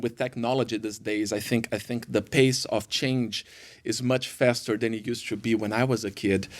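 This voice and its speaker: A man with a Brazilian accent and fairly even intonation, on a very clean recording with a silent background. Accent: Brazilian Portuguese accent, noticeable. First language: Portuguese. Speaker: worship pastor. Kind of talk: podcast interview. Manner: halting, many fillers.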